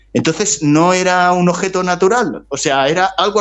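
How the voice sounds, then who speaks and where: This man's voice is high-pitched. It varies in pitch in an ordinary way. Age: 60s. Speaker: writer. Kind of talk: interview. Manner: halting.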